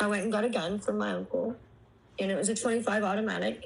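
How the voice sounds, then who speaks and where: A woman with a medium-pitched voice and ordinary pitch variation speaks in a room with audible echo. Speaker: abuse survivor sharing life story. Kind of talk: testimony. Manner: halting.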